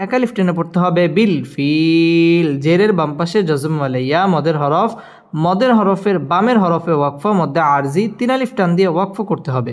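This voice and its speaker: His intonation is lively. The man's voice is high-pitched. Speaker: Quran teacher. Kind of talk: tutorial.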